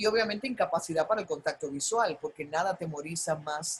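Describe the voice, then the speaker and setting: A woman speaks with a plain, everyday voice at medium pitch. Her pitch varies in an ordinary way. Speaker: broadcaster, master of ceremonies. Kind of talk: masterclass talk on public speaking.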